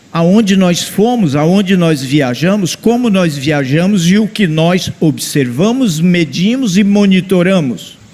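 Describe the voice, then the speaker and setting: A man with a high pitch and lively intonation at a very slow pace. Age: 70s. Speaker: engineering professor. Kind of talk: conference talk.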